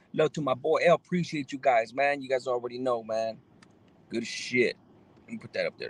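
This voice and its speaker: With an American accent, a man talks at a fairly quick pace in a normal speaking voice, medium in pitch with ordinary pitch variation. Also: big swings in loudness. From Los Angeles area, California. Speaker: live streamer. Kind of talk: casual live stream chat. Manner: laid-back, slangy with many fillers.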